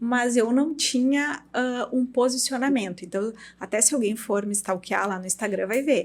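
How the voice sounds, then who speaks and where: A woman is speaking. She has a gaúcho accent. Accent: gaúcho, strong T pronunciation. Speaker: dermatologist and clinic owner. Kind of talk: podcast interview. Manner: assertive.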